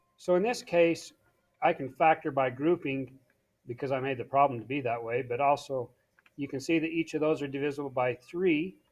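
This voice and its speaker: At a fairly quick pace, a man with a fairly high pitch and ordinary pitch variation speaks in an unremarkable speaking voice. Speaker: math teacher. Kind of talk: tutorial.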